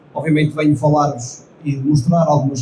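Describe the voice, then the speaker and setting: The voice belongs to a man and is fairly high. Room echo is audible around it. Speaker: company engineering director. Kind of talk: conference presentation.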